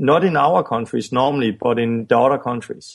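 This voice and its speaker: A man speaks with a Danish accent. His pace is moderate. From Denmark. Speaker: evangelist and ministry founder. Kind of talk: interview. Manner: halting.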